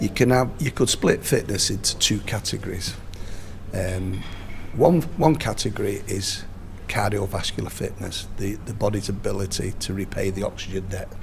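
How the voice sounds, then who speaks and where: Moderate pace and ordinary pitch variation over noticeable background noise. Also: man, fairly low pitch for a man. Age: 60s. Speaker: boxing strength and nutrition coach. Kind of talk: interview. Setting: outdoors at a rugby match.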